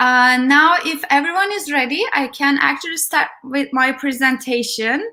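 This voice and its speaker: A woman with a Turkish accent, her raised, projected voice high in pitch, bright and sharp in tone, with ordinary pitch variation at a moderate pace. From Turkey. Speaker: tech program manager and conference speaker. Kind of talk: conference talk.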